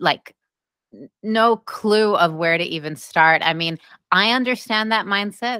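Over a silent background in a very clean recording, a woman speaks fairly slowly. Her tone is bright and sharp. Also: dry, close sound with no echo. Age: 20s. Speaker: podcast host. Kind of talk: podcast interview.

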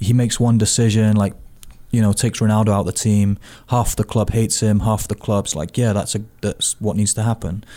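On a very clean recording with a silent background, a man with a British accent speaks fairly quickly in a fairly low, dark, mellow voice with monotone, flat intonation. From Britain. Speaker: soccer coach. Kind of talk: casual sports chat.

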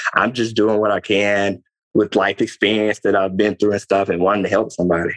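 A plain, everyday voice at a fairly quick pace, with fairly even intonation and a dry, close sound with no echo. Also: man. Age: 20s. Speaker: motivational speaker and former athlete. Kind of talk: casual chat.

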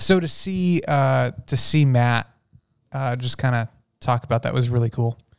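A man with an unremarkable speaking voice goes at a fairly slow pace with ordinary pitch variation, the sound dry and close with no echo. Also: medium pitch for a man. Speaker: guest, returning reviewer. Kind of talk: casual chat.

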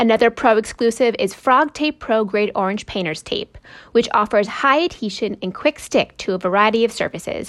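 A plain, everyday voice moves at a moderate pace with lively intonation, recorded very cleanly against a silent background. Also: woman. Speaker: podcast announcer. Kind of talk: scripted narration.

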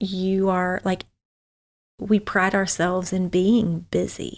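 On a very clean recording with a silent background, a woman speaks at medium pitch with a Southern US accent. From US South, Memphis, Tennessee. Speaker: former missionary. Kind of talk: casual interview.

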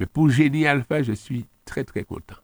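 With vocal fry at a fairly slow pace, a man speaks in a dry, close recording with no echo. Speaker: local politician. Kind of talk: radio interview.

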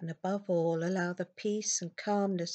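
With a dark, mellow tone that is gentle and soothing, a woman speaks in fairly even intonation, the sound dry and close with no echo. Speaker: hypnotherapist guiding self-hypnosis. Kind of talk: guided self-hypnosis script with soothing suggestions. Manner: slow, soft, gentle and soothing; calm, unhurried, with long pauses.

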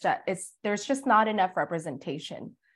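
A woman talks at a fairly quick pace with lively intonation. The recording is very clean, with a silent background. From Philippines, moved to Oklahoma at 12. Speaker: realtor and community organizer. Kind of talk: interview. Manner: casual, frequent fillers.

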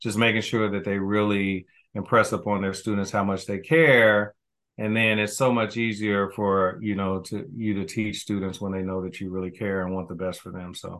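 A man talks with an American accent and fairly even intonation. His is an unremarkable speaking voice. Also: fairly low pitch for a man, moderate pace. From US Midwest, Kansas City, Missouri. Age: 50s. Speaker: school principal, educator. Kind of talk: interview, casual chat.

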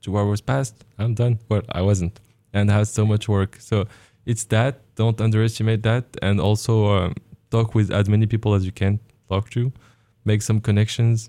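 A man with a fairly low pitch and a dark, mellow tone speaks at a moderate pace with monotone, flat intonation and very even loudness, in a dry, close sound with no echo and a very clean recording with a silent background. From Morocco. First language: French or Arabic. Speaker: graduate exchange student in engineering. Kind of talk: radio interview. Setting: radio studio.

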